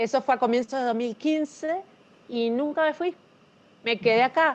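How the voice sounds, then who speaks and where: The woman's pitch shifts in an ordinary way as she talks. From Uruguay, Montevideo. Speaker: novelist. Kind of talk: interview.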